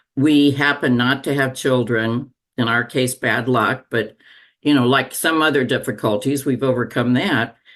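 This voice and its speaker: A woman speaks at a very deep, low pitch with fairly even intonation and very even loudness. Her pace is moderate, and the background is quiet. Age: 80s+. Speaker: retiree. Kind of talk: casual chat.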